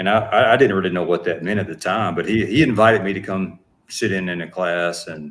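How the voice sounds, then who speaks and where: Very deep and low in pitch, a man talks with a Southern US accent. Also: ordinary pitch variation, fairly quick pace. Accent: Southern twang. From US South, Atlanta Georgia. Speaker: actor and business owner. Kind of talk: interview. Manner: halting.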